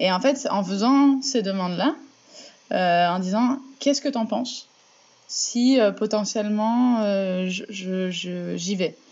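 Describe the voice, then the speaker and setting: This woman talks at a very slow pace. Her pitch sits in the medium range. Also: ordinary pitch variation. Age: 20s. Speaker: municipal election candidate. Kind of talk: interview. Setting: remote call. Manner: halting, many repetitions and fillers.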